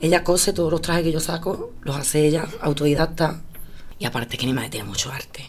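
Over noticeable background noise, a woman speaks at a very fast pace with a very deep, low pitch and ordinary pitch variation. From Andalusia, Spain. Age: 30s. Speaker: flamenco singer. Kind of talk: interview.

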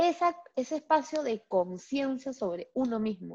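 A woman speaks at a fairly slow pace in an animated tone, her pitch swinging very widely. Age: 40s. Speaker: business coach and trainer. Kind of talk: casual interview chat.

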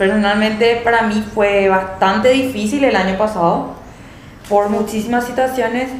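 Against noticeable background noise and audible room echo, a woman speaks at a fairly high pitch with fairly even intonation. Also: moderate pace, very even loudness. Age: young. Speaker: accountant. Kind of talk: casual chat.

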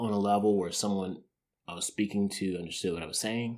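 This man has a very deep, low voice and an American accent, speaking in a flat monotone. The recording is very clean with a silent background. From US South, Arkansas, military family. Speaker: host's partner. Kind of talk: casual chat.

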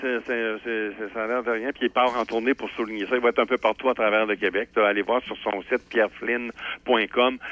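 This man speaks at a moderate pace. His intonation is monotone and flat. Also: medium pitch for a man. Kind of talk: casual chat.

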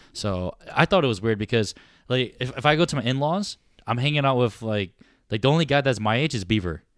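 Very clean recording, silent background, and a man with an unremarkable speaking voice. He talks at a fairly quick pace, his medium pitch shaped by lively intonation. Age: 30s. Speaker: podcast co-host. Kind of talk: casual chat.

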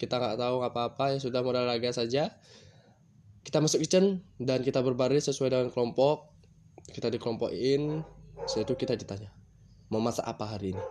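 A man's medium-pitched voice at a very fast pace, with ordinary pitch variation and a quiet background. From Bali, Badung. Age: 20s. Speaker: culinary student and podcaster. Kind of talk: casual solo monologue. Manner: halting.

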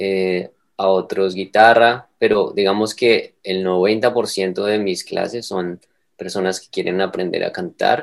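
A very slow pace with fairly even intonation. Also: man, fairly low pitch for a man. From Colombia, Bogotá. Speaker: vocal coach and singer-songwriter. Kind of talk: interview. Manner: halting, many repetitions and fillers.

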